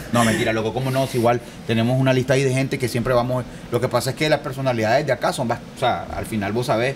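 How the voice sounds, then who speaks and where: A man talking very fast at a medium pitch, monotone and flat, over noticeable background noise. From Nicaragua. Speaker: podcast host. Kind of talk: interview. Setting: studio with live audience.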